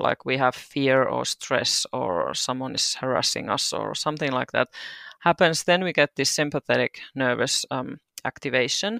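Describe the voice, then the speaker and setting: A woman with a Finnish accent speaks at a fairly slow pace, her voice dry and close with no echo on a very clean recording against a silent background. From Finland, Turku. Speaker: doula and hypnobirthing practitioner. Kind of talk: casual interview.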